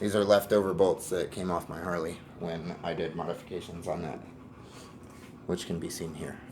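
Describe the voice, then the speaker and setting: Against noticeable background noise, a man with a very deep, low voice speaks at a moderate pace in a monotone, flat way with long, frequent pauses. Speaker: firearms hobbyist YouTuber. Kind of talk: tutorial. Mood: relaxed, candid. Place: garage. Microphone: phone near.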